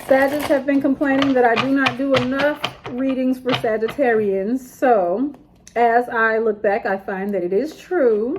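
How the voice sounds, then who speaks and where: This woman talks at a fairly slow pace in a fairly high pitch. Noticeable background noise runs behind her. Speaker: tarot reader. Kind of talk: tarot reading. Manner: casual, chatty.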